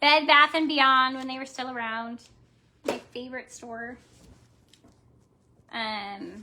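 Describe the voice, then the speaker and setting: A woman speaks at a very slow pace with long, frequent pauses, her raised, projected voice high-pitched with a bright, sharp tone. Her intonation stays fairly even. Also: big swings in loudness. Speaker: crafts livestreamer. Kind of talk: live craft tutorial chat. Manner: casual, halting with fillers.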